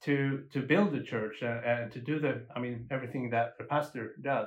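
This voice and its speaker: With a Swedish accent, a man talks at a moderate pace in a fairly high pitch with ordinary pitch variation. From Sweden. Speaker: musician and lay minister. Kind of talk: casual interview conversation. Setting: on location in a South African township. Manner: halting, with repetitions.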